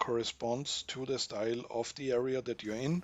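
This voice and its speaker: This is a man speaking. He talks with a non-native accent. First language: not English. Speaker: gaming youtuber. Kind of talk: gameplay tutorial commentary. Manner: halting, self-correcting.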